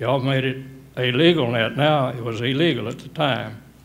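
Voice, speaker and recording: The intonation stays fairly even at a moderate pace. Noticeable background noise and audible room echo fill the recording. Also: man. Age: 80s+. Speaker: angler appealing license revocation. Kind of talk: testimony.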